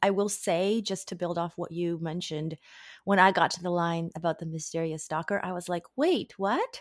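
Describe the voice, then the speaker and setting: A woman with a fairly low pitch speaks at a fairly quick pace in a plain, everyday voice. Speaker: literary agent. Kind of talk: casual chat.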